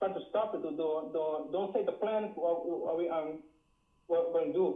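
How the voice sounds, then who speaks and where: Here a man talks at a moderate pace. He has a strong West Indian accent. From Dutch Caribbean island. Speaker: caller. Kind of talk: call-in talk. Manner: halting.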